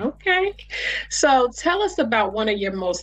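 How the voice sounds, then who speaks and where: The woman speaks at a moderate pace. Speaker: interviewer. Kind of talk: interview questions.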